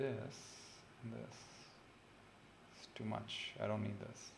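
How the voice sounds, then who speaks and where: With audible room echo around him, a man speaks at a fairly low pitch with ordinary pitch variation. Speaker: chemistry tutor. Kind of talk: live-stream tutorial. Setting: livestream. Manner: casual, code-switching.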